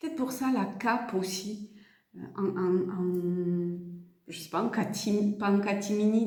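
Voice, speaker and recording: With audible room echo, a woman speaks at medium pitch and a very slow pace. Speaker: tarot card reader and energy healer. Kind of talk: tarot reading guidance. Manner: speaking very softly today; halting, many fillers and repeats.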